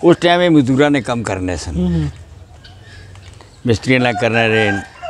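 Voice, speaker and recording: A man's voice swings very widely in pitch, with a dry sound free of echo and light background noise. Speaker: local caretaker or acquaintance of the graveyard man, interview answer. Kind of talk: interview answer. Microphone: lapel.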